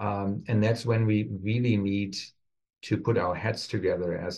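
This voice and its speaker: Speaking in a German accent, a man talks at a fairly slow pace with a fairly low pitch. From Germany. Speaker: pharmacy professor. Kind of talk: interview conversation.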